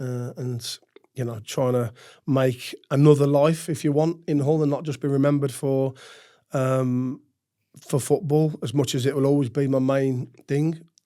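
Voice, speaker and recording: On a very clean recording with a silent background, a man with a slight Brummie accent talks at a moderate pace, his fairly high voice dark and mellow in tone with fairly even intonation. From Birmingham, England. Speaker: retired footballer and businessman. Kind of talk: interview. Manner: halting, many fillers.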